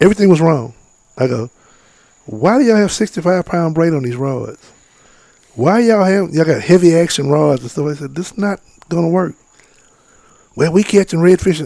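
A man's high-pitched voice with a dark, mellow tone, lively intonation and a fairly quick pace broken by long, frequent pauses. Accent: American. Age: 50s. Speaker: fishing guide and outdoorsman. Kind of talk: casual interview.

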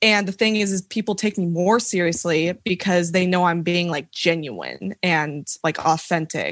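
This woman has a slight Southern US accent and a fairly low pitch, with ordinary pitch variation. She speaks with hardly any pauses against a quiet background. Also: moderate pace, dry, close sound with no echo. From Tennessee, US South. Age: 20s. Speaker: TikTok creator, college student. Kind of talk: casual chat.

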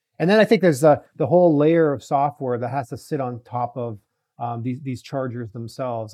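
This man has an unremarkable speaking voice, medium in pitch with ordinary pitch variation, moving at a fairly quick pace. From Canada (Toronto). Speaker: venture capital investor, auto industry executive. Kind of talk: interview.

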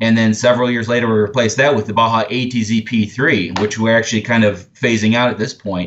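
In an ordinary speaking voice, a man talks at a fairly quick pace with hardly any pauses, medium pitch and fairly even intonation. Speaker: product manager. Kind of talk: casual interview chat.

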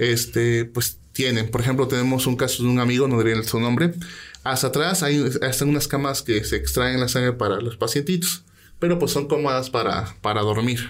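A man talks at a moderate pace with very even loudness. His pitch is medium, with ordinary variation. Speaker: guest who shares paranormal stories. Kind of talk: ghost story telling. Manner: animated, vivid storytelling.

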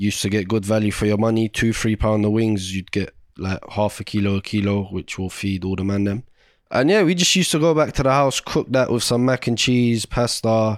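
On a very clean recording with a silent background, a man with a London accent talks fairly quickly at a fairly low pitch, with ordinary pitch variation. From Iraq, raised in London. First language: Arabic. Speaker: podcast host, TV chef. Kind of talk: casual chat. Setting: home living room.

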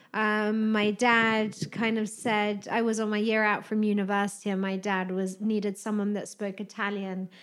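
On a very clean recording with a silent background, a woman speaks in a British accent. Her pitch is fairly high and her pace moderate. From UK. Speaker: wellness director of a hotel group. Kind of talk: interview chat about spa products.

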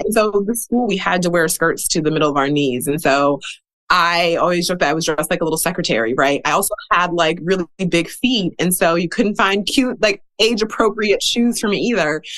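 A woman with an unremarkable speaking voice and a fairly low pitch speaks with lively intonation. Her loudness stays very even, with hardly any pauses. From US Midwest, Milwaukee, Wisconsin. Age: 30s. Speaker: author and educator. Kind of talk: interview.

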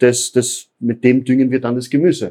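Speaking at a fairly slow pace, a man keeps a medium pitch. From Upper Austria. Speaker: aquaponics farm owner. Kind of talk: interview on a farm tour. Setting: on site in a greenhouse. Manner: halting, many fillers.

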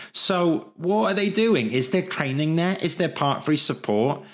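A man speaks in a Welsh accent at a moderate pace. His intonation is lively. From Wales. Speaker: livestreamer and architecture recruiter. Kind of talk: live stream solo talk. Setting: live stream. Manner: chatty, informal.

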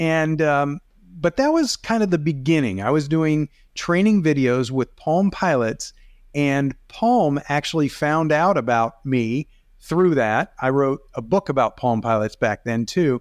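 A man with an unremarkable speaking voice talks at a fairly high pitch with lively intonation. His loudness stays very even against a quiet background. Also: dry, close sound with no echo. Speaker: video coach and photographer. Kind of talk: casual chat.

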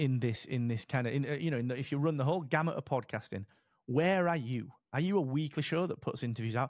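Very fast and medium in pitch, a man with an English accent talks with ordinary pitch variation on a very clean recording with a silent background. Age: 40s. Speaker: podcast platform founder. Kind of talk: casual interview chat.

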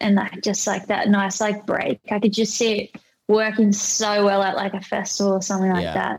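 A woman's medium-pitched, monotone voice in an Australian accent, flat in intonation, at a moderate pace. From rural Australia. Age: 20s. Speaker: DJ and music producer. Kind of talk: casual chat. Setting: podcast recording.

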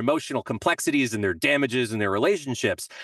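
A man's voice in a dry, close sound with no echo, over a quiet background. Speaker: composer and songwriter. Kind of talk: casual chat.

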